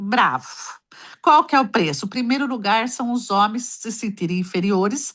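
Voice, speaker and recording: Quiet background, a woman speaking at a moderate pace. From Brazil, Ibitinga, São Paulo state. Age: 60s. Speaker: embroiderer, caller on advice livestream. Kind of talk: casual chat. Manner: animated.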